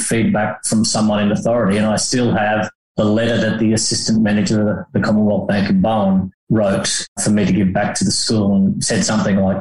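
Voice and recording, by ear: With audible room echo, a man talks at a fairly quick pace in a fairly low pitch and a slightly mellow tone.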